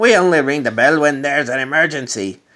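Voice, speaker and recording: In a put-on character voice, a man rumbles at a fairly high pitch with a Mexican-free, lively intonation and a very fast pace. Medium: read story. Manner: grumbling.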